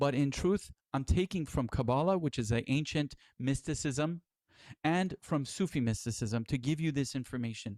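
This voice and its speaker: A man speaks at a moderate pace in a fairly high pitch with ordinary pitch variation and very even loudness, on a very clean recording with a silent background and a dry, close sound with no echo. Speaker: spiritual teacher. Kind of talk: lecture. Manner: radio-style voice.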